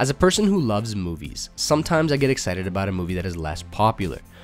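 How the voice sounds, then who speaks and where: With music in the background, a fairly low-voiced man talks fairly quickly with lively intonation. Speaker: film YouTuber. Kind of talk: list video narration to camera.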